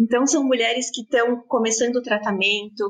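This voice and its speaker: At a medium speed, a woman talks with intonation that stays fairly even. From Brazil, São Paulo. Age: 30s. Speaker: fashion brand co-founder. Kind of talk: interview.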